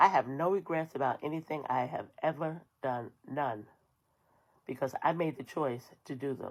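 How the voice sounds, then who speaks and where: A woman's very deep, low voice in an American accent, at a moderate pace with ordinary pitch variation. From New York. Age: 60s. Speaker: social media creator. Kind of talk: personal monologue to viewers. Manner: firm, emphatic.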